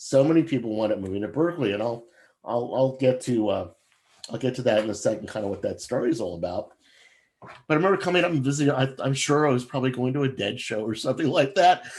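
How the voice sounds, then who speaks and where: Talking at a very fast pace, this man has an American accent. His medium-pitched voice moves with lively intonation. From New York area (Westchester County). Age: 60s. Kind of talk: invited talk. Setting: video call. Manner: halting, many fillers.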